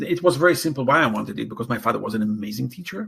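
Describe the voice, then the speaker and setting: A man speaks at a medium pitch. His voice carries vocal fry. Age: 60s. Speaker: educator. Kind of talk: interview. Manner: halting.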